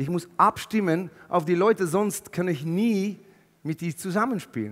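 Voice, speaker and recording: Over a quiet background, a man talks at a fairly slow pace. His high pitch shows ordinary variation. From Netherlands. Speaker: keynote speaker. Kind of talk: motivational keynote talk. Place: stage. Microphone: headset.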